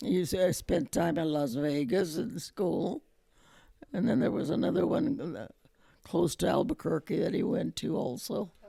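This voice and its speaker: The tone is dark and mellow with vocal fry. The pitch swings very widely. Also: woman, fairly low pitch for a woman. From New Mexico. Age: 80s+. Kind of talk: oral history interview answer.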